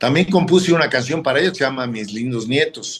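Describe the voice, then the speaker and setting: This man's medium-pitched voice swings very widely up and down in pitch. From northern Mexico, Matamoros. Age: 60s. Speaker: football coach and former player. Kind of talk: interview. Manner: halting.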